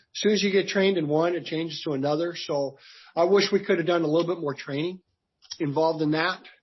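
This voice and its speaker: Fairly high-pitched male voice with fairly even intonation. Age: 60s. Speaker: construction business owner. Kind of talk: business interview. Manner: halting.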